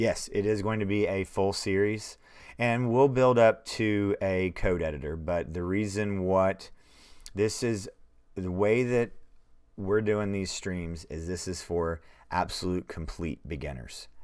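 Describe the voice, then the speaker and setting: Speaking fairly slowly, a man uses an unremarkable speaking voice. His pitch is fairly low, with ordinary variation. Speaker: programming teacher. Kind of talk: live-stream coding tutorial. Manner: casual, conversational.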